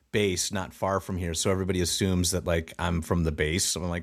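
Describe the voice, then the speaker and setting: Recorded very cleanly against a silent background, a man talks in a Chicago accent. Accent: Chicago American English. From US Midwest, Chicago. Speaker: actor and improv comedian. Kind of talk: casual podcast interview.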